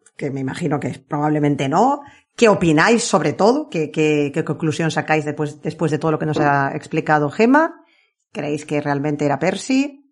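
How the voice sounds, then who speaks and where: Speaking at a moderate pace, a woman has a very deep, low pitch with ordinary pitch variation. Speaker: podcast host. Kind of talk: casual chat.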